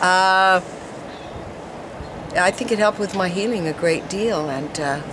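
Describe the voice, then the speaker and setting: A woman talks at a moderate pace with fairly even intonation and a fairly low pitch. Noticeable background noise is present. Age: 70s. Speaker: product user giving testimonial. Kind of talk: testimony. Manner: casual, halting with fillers.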